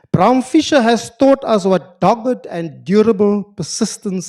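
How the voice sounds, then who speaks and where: A man speaks with a South African accent at a high pitch. His moderate-paced voice sounds dry and close, with no echo. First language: Afrikaans. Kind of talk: formal lecture. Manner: formal, with hesitations.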